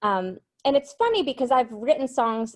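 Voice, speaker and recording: In a slight Massachusetts accent, a woman speaks against a quiet background. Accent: Massachusetts, light. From Massachusetts, Cape Cod. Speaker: singer-songwriter. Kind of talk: interview.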